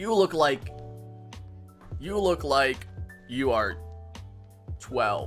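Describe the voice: A man is speaking. Music plays in the background.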